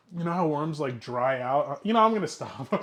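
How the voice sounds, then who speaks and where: With a New Jersey accent, a man talks at a fairly high pitch with ordinary pitch variation. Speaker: streamer hosting a cooking show. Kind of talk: casual live-stream cooking chat. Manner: casual, hesitant with fillers.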